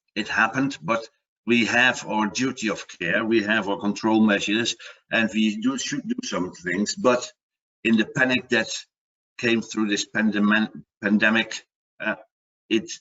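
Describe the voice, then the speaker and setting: A man talks in a fairly low voice with a Dutch accent. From Netherlands. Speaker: product manager and water safety expert. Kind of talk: webinar presentation. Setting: online webinar. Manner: halting, with repetitions and fillers.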